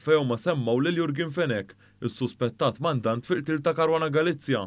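In a very clean recording with a silent background, a man speaks at a moderate pace with ordinary pitch variation in an ordinary speaking voice. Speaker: news presenter. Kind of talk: news reading. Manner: formal.

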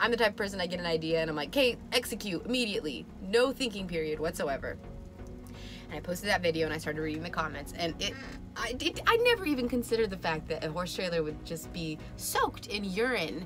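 Very fast speech from a woman with a fairly low pitch, clear music playing in the background. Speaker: vlogger. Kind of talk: casual vlog chat. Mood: grateful, excited, laughing. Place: home room. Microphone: phone near.

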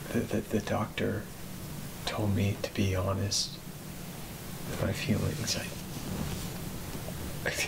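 Very slow speech plays against loud background noise. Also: man. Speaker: actor in a drama scene. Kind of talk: scripted drama dialogue, confessional monologue. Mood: nervous, self-conscious confession. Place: home room.

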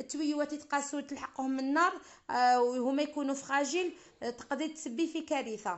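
Her voice sits high for a woman, and its pitch varies in an ordinary way. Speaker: wedding caterer cook. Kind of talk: tutorial.

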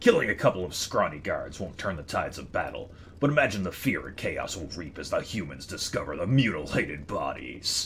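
A man's put-on character voice at a fairly quick pace, with hardly any pauses over clear background noise. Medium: game stream. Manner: grim, relishing violence.

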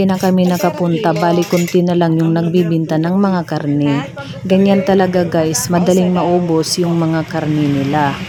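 With an Eastern Visayan accent, a woman speaks at a fairly low pitch and very even loudness, with noticeable background noise and audible room echo. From Eastern Visayas, Leyte. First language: Waray (speaking Tagalog). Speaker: vlogger. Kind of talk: vlog narration. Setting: outdoors.

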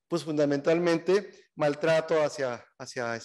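Over a quiet background, a man speaks at a very slow pace. His pitch is fairly high. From Mexico. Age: 50s. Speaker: gender equality activist and sociologist; speaker. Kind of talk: talk to a seminar audience. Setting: event hall with audience. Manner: hesitant, many fillers. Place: classroom. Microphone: podium.

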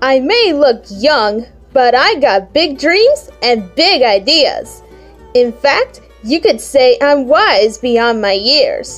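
A female-sounding, put-on character voice speaks at a very slow pace over faint music in the background. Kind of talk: comic dub. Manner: confident, boastful.

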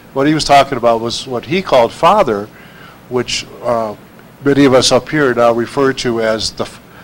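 With noticeable background noise behind him, a man talks at a fairly quick pace, at a medium pitch and with fairly even intonation. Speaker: spiritual researcher. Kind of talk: panel talk. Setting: stage with audience.

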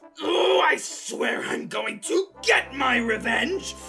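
Doing a put-on character voice, a man speaks slowly at an extremely high pitch with lively intonation, vocal fry, and a bright, sharp tone, as faint music plays in the background.

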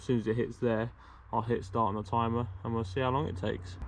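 Noticeable background noise fills the clip. A man is the one talking. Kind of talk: tutorial. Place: garden. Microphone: phone near.

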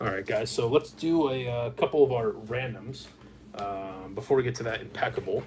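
Music plays in the background. A man is speaking. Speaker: card break host. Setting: live stream, online video. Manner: casual, friendly, with frequent filler 'uh' and 'um'. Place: studio.

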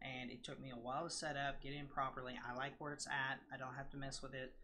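The voice is nasal with a bright, sharp tone and moves at a fairly quick pace. Audible room echo surrounds it. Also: man.

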